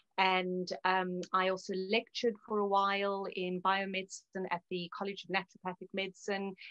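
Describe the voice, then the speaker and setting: In a South African accent, a woman at a medium pitch talks at a moderate pace with hardly any pauses and flat, monotone intonation. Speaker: naturopath. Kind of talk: interview.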